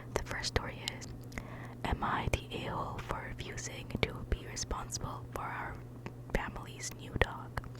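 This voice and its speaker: A woman whispers while noticeable background noise continues. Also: moderate pace. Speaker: ASMR creator. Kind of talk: casual talk to camera, ramble between stories. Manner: whispered, soft-spoken.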